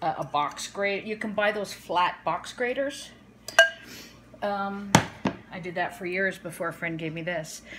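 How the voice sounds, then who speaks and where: The woman speaks at a fairly slow pace. Loud background noise fills the clip. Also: ordinary pitch variation. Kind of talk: casual cooking tutorial. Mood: light, self-deprecating humor. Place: kitchen. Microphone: phone near.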